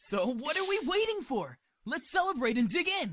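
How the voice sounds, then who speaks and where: Very wide pitch swings at a moderate pace. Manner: cheerful, excitable.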